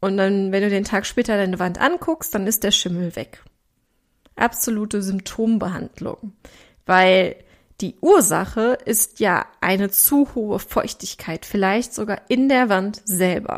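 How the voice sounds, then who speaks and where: An animated voice with ordinary pitch variation and a slight Ruhr accent comes through on a very clean recording with a silent background. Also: woman, medium pitch for a woman. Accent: Ruhr regional German, slight. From Ruhr area, Germany. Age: 30s. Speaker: podcast host and weight coach. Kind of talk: solo podcast monologue.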